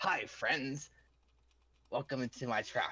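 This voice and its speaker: Someone puts on a character voice in a low-to-middle pitch at a fairly slow pace. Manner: cheerful, welcoming.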